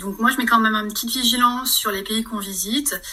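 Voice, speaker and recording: A woman with a fairly high pitch speaks at a moderate pace with ordinary pitch variation over noticeable background noise. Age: 40s. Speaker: trekker. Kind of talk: casual chat.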